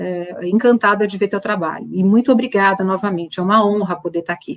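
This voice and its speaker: A woman with a normal speaking voice talks at a moderate pace and medium pitch, using ordinary pitch variation. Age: 50s. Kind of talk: panel discussion.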